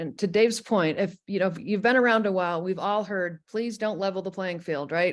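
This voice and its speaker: Over a quiet background, a woman talks at a very fast pace. Her pitch is medium, with ordinary variation. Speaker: industry consultant, webinar host. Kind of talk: webinar presentation.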